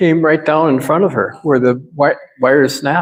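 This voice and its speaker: In a Minnesotan accent, a man talks fairly slowly in a fairly high voice with ordinary pitch variation. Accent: Minnesota. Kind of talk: sermon. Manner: halting, repeats words.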